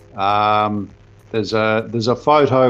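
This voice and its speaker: A man with a Southland New Zealand accent speaks at medium pitch. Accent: rolled Southland R's. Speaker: protest participant. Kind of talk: interview account. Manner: hesitant with fillers.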